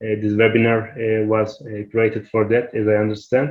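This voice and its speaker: A man with a Turkish accent talks at a medium pitch and a fairly slow pace. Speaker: academic researcher, webinar presenter. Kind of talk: Q&A answer in an online workshop. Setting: online webinar. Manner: halting, many hesitations.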